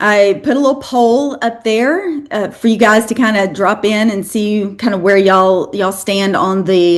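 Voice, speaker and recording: A woman with a slight Southern US accent speaks at a medium pitch and moderate pace, with ordinary pitch variation and hardly any pauses. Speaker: fitness educator, lecturer. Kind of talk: lecture.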